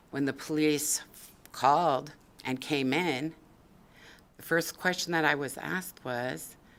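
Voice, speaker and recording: With long, frequent pauses, a woman speaks at a very deep, low pitch. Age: 60s. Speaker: public testifier, assault survivor. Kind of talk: public testimony. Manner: emotional, emphatic.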